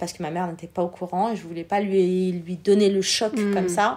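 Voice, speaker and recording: The voice keeps a moderate pace with monotone, flat intonation. The recording is very clean with a silent background. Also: woman. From France, born in Algeria, came as a small child. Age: 40s. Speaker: entrepreneur, former shop owner. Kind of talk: interview, personal testimony.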